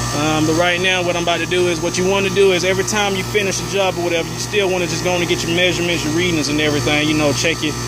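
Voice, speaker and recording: Very fast speech with hardly any pauses over noticeable background noise. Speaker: HVAC technician. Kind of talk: tutorial. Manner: halting.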